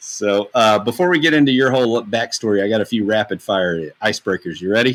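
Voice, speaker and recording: A man speaks with a Kentucky accent at a fairly low pitch and a fairly quick pace. His intonation is lively, his loudness very even, and the sound is dry and close with no echo. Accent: Kentucky Southern US. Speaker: podcast host, music therapist. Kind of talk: casual interview.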